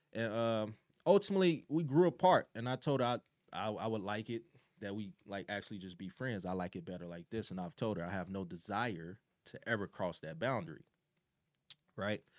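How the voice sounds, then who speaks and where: An ordinary speaking voice, a man with an American accent talks fairly quickly in a fairly low pitch, with lively intonation, big swings in loudness, and a dry, close sound with no echo. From Chicago, South Side. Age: 20s. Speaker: podcast co-host. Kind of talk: casual chat.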